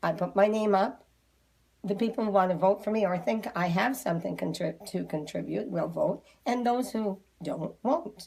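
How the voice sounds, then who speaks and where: The voice moves at a moderate pace with lively intonation. Vocal fry runs through it. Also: woman, medium pitch for a woman. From Nova Scotia, Cape Breton. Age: 70s. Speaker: regional councillor. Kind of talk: interview.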